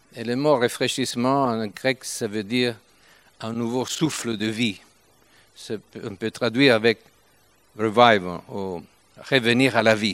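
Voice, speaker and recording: A man speaks very slowly at a medium pitch, with long, frequent pauses. His intonation stays fairly even while his loudness swings widely. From Italy, Turin. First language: Italian (speaking French). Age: 70s. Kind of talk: sermon. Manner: halting.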